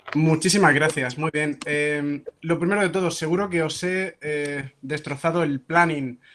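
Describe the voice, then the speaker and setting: A man's fairly high voice with fairly even intonation and hardly any pauses. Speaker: psychology professor. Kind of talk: lecture. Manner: fast.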